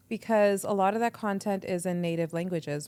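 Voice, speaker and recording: A woman with a Canadian accent has an ordinary speaking voice, with fairly even intonation at a moderate pace. The recording is very clean, the background silent. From Canada, Edmonton. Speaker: radio entrepreneur and presenter. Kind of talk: casual interview chat. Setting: podcast interview.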